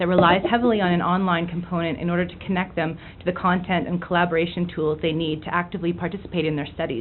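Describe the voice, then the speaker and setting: Over noticeable background noise, a woman talks at a very fast pace with a medium pitch. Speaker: education committee coordinator. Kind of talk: public comment.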